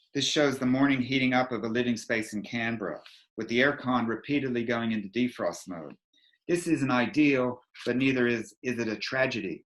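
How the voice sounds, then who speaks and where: A man with a North American accent and a normal speaking voice, medium in pitch, ordinary in pitch variation, at a fairly quick pace. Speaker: energy advisor. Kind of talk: presentation. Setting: video call.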